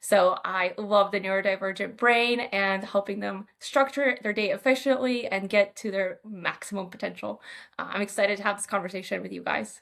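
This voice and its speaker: In an American accent, a woman speaks with an ordinary speaking voice at medium pitch and a moderate pace, hardly pausing at all. Her intonation is fairly even while her loudness swings widely, on a very clean recording with a silent background. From Moldova, then US Midwest from age ten. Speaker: psychiatrist. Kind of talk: podcast interview.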